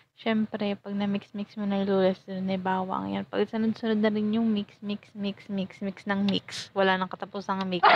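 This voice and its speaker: At a moderate pace, a woman speaks at a medium pitch in a monotone, flat delivery. Noticeable background noise sits under a dry, close sound with no echo. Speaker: cooking vlogger. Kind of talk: casual cooking tutorial. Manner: stumbling over words.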